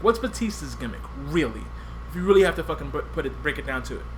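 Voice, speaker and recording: Talking at a very fast pace, a man's loudness swings a lot. Background noise is noticeable. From US, Puerto Rican family. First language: Spanish. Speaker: podcast host. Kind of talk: casual chat.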